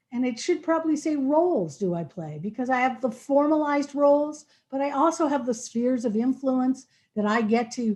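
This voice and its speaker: At a moderate pace, a woman speaks with a high pitch and a dark, mellow tone. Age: 60s. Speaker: equity trainer presenting to a school board. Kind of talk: presentation to a school board work session.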